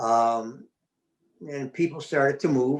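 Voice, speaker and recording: In an unremarkable speaking voice, a man with an American accent talks at a medium pitch and a moderate pace. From US Midwest, Chicago west side. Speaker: interview guest. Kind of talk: casual chat.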